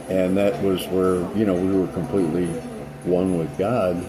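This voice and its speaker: A man speaks in a very deep, low pitch. Noticeable background noise can be heard. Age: 60s. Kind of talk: casual spiritual talk to camera. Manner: hesitant, many fillers.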